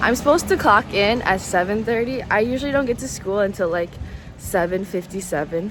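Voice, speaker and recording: Against background music, someone speaks at a fairly quick pace. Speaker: vlogger and teacher abroad. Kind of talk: casual vlog. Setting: outdoors, walking at night.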